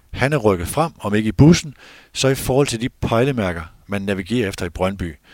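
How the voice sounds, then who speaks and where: In a very clean recording with a silent background, a man at a medium pitch speaks at a moderate pace with lively intonation. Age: 50s. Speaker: football journalist and podcast host. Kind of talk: casual chat. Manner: halting.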